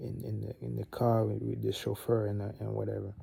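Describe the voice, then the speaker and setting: Speaking at a fairly quick pace, a man talks with a French accent. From Gabon. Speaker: vlogger. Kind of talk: casual monologue.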